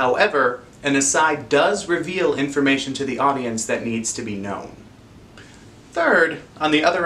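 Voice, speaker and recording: Moderate pace and ordinary pitch variation in a man's voice. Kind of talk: educational explainer. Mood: friendly, expressive.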